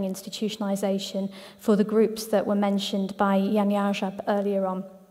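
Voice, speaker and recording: Monotone and flat, a woman speaks at a medium pitch and a moderate pace. There is noticeable background noise along with audible room echo. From Ireland. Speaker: head of an international children's charity. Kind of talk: conference presentation. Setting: conference hall with audience. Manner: hesitant, many fillers.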